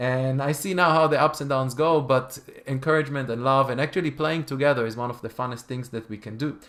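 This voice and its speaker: A man speaks very fast, with hardly any pauses. His intonation stays fairly even. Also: medium pitch for a man. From Israel. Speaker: cellist and music teacher. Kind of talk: talk to an audience. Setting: video call. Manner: halting, repeats words.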